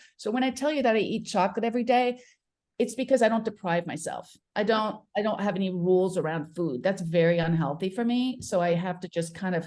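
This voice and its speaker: Lively intonation at a fairly quick pace. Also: woman, medium pitch for a woman. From Paris, France, then Connecticut from age 13. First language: French. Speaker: midlife mentor. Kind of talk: interview. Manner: halting, many fillers.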